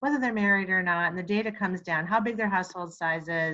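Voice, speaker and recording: Against a quiet background, a woman talks at a medium pitch with ordinary pitch variation and a bright, sharp tone. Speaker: real estate trainer. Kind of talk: webinar tutorial. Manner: fast; casual, chatty with fillers.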